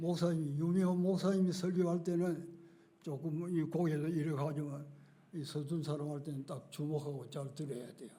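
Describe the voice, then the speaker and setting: A man with a fairly high pitch and a dark, mellow tone speaks at a moderate pace with fairly even intonation, and room echo is audible. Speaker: retired pastor. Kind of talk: sermon. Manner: halting.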